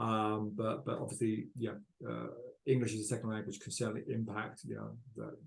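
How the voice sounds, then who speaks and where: A man speaks in a British accent with a dark, mellow tone. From United Kingdom. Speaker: panel moderator. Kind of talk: panel discussion.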